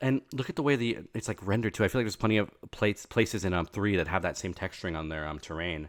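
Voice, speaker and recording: A quiet man at a fairly low pitch, very fast and with lively intonation, in a very clean recording over a silent background. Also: hardly any pauses. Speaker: streamer reacting to game trailer. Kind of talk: live stream reaction and analysis. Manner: a bit quiet; halting, many fillers and self-corrections.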